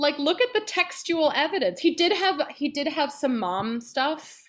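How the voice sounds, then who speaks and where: A woman speaks with an American accent at a high pitch and a moderate pace. Her tone is animated, with very wide pitch swings. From New Jersey, then Phoenix from age 14. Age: 30s. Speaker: soprano singer and voice teacher. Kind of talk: casual interview chat.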